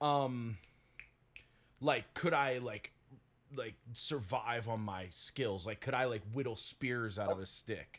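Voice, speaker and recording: A man speaks at a fairly slow pace with an American accent. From US South. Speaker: podcast co-host. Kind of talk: casual chat.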